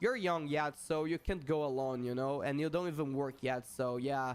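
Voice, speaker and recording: A man speaks with a Portuguese accent. His pace is moderate. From Brazil. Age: 20s. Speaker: gaming streamer. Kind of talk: live gaming stream chat. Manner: halting, frequent self-corrections; casual, repeats 'bro'.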